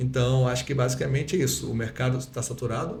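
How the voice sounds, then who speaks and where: The man's pitch sits in the medium range. His speech carries audible echo from the room. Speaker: dentist and lecturer. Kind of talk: podcast interview. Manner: fast; swallows words.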